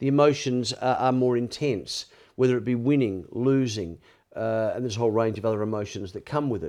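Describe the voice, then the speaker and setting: The speaker has an Australian accent. The pace is very fast. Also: man. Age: 60s. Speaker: former sports reporter and media figure in addiction recovery. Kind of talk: interview conversation with personal testimony. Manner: chatty, storytelling.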